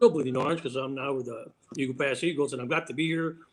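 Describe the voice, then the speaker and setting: Fairly quick speech in an American accent over music in the background. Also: man. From Texas, Crystal City. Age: 60s. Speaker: district attorney. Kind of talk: panel interview. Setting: live stream. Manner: repetitive stammering.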